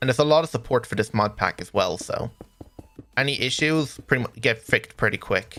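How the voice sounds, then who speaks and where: With music in the background, a man with an Irish accent talks fairly quickly at medium pitch with ordinary pitch variation. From Ireland. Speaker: gaming streamer. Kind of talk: live gameplay stream chat. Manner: casual, counting aloud.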